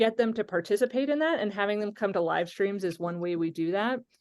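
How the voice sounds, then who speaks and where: Against a quiet background, a woman with a plain, everyday voice talks at a medium pitch with lively intonation. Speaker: pastor and social media creator. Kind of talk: interactive webinar discussion.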